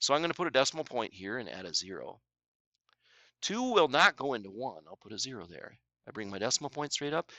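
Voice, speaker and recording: Vocal fry, very wide pitch swings, big swings in loudness and a very fast pace. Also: man, medium pitch for a man. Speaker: math teacher. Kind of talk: tutorial. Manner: casual, conversational.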